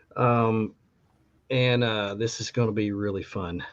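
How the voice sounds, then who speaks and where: This man has an unremarkable speaking voice and talks at a fairly slow pace. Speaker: podcast host. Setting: live podcast taping.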